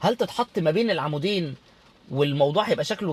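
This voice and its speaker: The man talks at a fairly quick pace in a fairly high voice, with ordinary pitch variation. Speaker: interior design instructor. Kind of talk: casual talk to camera. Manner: loud; halting, many repetitions.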